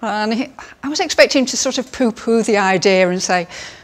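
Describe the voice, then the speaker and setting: With noticeable background noise, a woman speaks with ordinary pitch variation. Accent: English. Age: 60s. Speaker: cosmetic surgery patient. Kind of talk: testimony.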